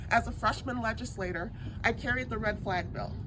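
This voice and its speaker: Audible room echo hangs around this voice. The woman speaking keeps a moderate pace. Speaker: politician. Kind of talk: campaign speech. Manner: soft-spoken.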